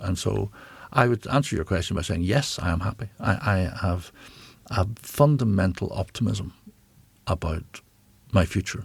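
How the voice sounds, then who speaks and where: A man with a Northern Irish accent speaks in a very deep, low voice that is somewhat breathy, leaving long, frequent pauses. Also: ordinary pitch variation, moderate pace. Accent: Northern Irish (Belfast). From Northern Ireland, Belfast. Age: 60s. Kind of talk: interview. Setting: studio. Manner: halting.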